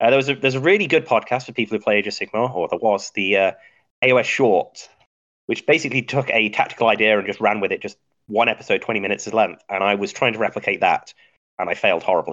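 A man with an English Midlands accent talks very fast with ordinary pitch variation, and the sound is dry and close with no echo. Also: medium pitch for a man. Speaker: podcast host and geologist. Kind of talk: casual chat about tabletop wargaming.

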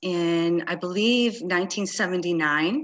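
This woman has an unremarkable speaking voice, pitched medium with ordinary pitch variation. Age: 50s. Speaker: network marketing business owner. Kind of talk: interview.

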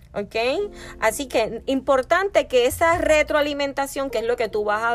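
A woman with a Puerto Rican accent speaks at a fairly slow pace with lively intonation in a very clean recording with a silent background. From Puerto Rico. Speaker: podcast host, wellness coach. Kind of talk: solo podcast talk, self-help advice.

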